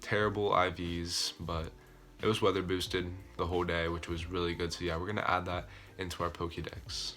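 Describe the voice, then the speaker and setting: Music plays in the background as a man with a very deep, low voice talks at a fairly quick pace amid audible room echo. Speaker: gaming YouTuber. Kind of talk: casual video commentary. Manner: fast; enthusiastic.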